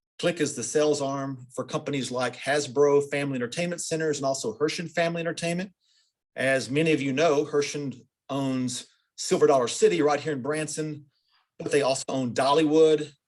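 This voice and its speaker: In a plain, everyday voice, a man with a fairly high pitch speaks at a moderate pace with fairly even intonation. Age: middle-aged. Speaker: interviewer for a company's internal training program. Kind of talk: interview.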